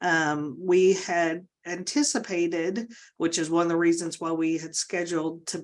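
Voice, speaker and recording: A woman with an ordinary speaking voice, fairly low in pitch, at a moderate pace, in a very clean recording with a silent background. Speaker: state agency official. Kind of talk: work presentation.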